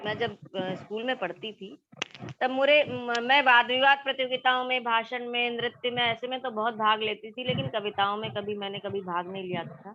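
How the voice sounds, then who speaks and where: A woman with a Marathi accent speaks at a fairly high pitch. Her loudness swings widely over noticeable background noise. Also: ordinary pitch variation. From India, Madhya Pradesh (Gwalior). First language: Marathi (speaking Hindi). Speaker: poet. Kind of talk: interview.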